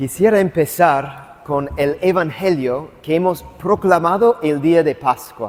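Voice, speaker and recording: A man with an English accent, speaking at a very slow pace, his intonation lively. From US South, Atlanta. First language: English (speaking Spanish). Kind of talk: lecture. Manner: halting.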